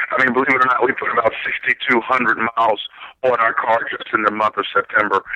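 A man in an American accent keeps his intonation fairly even while noticeable background noise plays behind him. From Philadelphia, US. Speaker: political candidate, former Marine. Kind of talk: interview.

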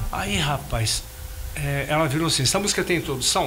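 Rather quick speech from a man comes through clear background noise and audible room echo. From Minas Gerais, Brazil (Carangola). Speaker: singer and bandleader. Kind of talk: casual interview chat.

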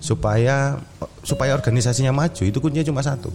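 This is a man speaking. Noticeable background noise is present throughout. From Yogyakarta, Indonesia. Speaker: football club HR manager. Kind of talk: casual interview. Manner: halting, many fillers.

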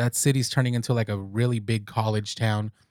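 Here a man talks at a fairly quick pace in an unremarkable speaking voice of medium pitch. The recording is very clean and the background silent. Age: 30s. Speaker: podcast host. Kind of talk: casual monologue. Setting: recording alone. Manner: relaxed, rambling with fillers.

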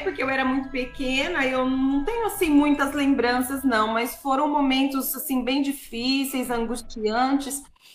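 Over noticeable background noise and audible room echo, a woman at high pitch talks at a fairly slow pace with ordinary pitch variation and hardly any pauses. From interior of São Paulo state, Brazil. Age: 40s. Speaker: gospel singer. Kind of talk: radio interview, testimony.

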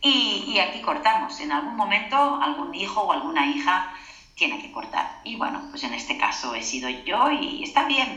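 A woman with a fairly high pitch talks at a fairly slow pace with very wide pitch swings, amid noticeable background noise and audible room echo. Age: 40s. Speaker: holistic therapist and author. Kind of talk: interview.

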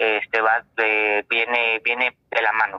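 A man's voice at medium pitch. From Coahuila, Mexico. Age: 30s. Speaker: optometrist. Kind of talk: interview. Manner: halting.

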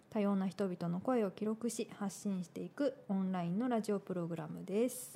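Her tone dark and mellow, a woman of medium pitch talks at a moderate pace with ordinary pitch variation. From Tokyo. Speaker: radio host and artist. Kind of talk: scripted narration; casual chat. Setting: studio.

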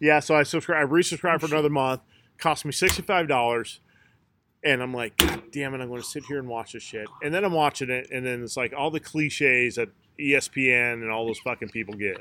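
A man's medium-pitched voice, bright and sharp in tone, at a fairly quick pace with ordinary pitch variation. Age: 40s. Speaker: podcast host. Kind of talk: casual chat.

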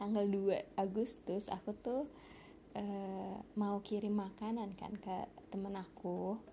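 A woman speaks slowly in a dark, mellow, nasal tone.

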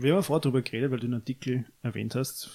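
A man's dark, mellow voice at a very fast pace, with fairly even intonation. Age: 20s. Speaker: podcast co-host. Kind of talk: casual chat.

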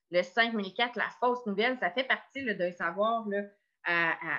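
Her voice sits at a medium pitch with ordinary variation. The woman talks at a fairly slow pace. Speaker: education community coordinator. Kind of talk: online professional meeting. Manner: halting, many repetitions.

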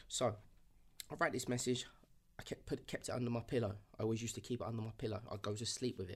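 The man talks at a very fast pace in a somewhat breathy, medium-pitched voice. His speech has long, frequent pauses. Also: fairly even intonation. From southeast London outskirts. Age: 30s. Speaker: entrepreneur. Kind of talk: casual interview, life story.

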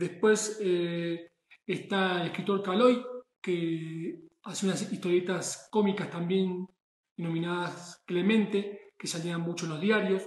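A man's high voice at a very slow pace, with fairly even intonation. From Argentina. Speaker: chef. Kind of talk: monologue. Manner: halting.

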